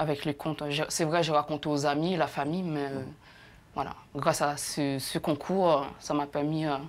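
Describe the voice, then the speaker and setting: Delivered in a flat, monotone way, the speech keeps a medium tempo. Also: woman, very deep, low pitch for a woman. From Haiti. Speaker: actress and storyteller. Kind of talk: TV interview answer.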